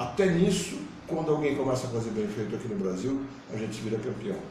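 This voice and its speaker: With lively intonation, a man talks at a fairly quick pace and a medium pitch. Audible room echo and noticeable background noise fill the recording. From São Paulo city, Brazil. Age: 60s. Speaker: political candidate. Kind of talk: interview.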